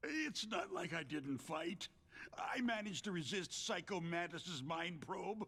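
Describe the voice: Put-on character voice from a man, high-pitched with a bright, sharp tone and a slow pace. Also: lively intonation.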